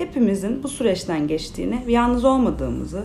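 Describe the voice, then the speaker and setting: A woman speaks fairly quickly at a fairly high pitch. Noticeable background noise and audible room echo surround her. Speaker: clinical psychologist. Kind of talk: interview, explaining mental health topics.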